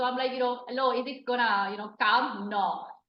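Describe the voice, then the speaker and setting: In an Italian accent, a woman speaks at a high pitch with ordinary pitch variation, and room echo is audible. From Italy. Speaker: hula hoop artist. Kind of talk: interview. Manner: hesitant, many fillers.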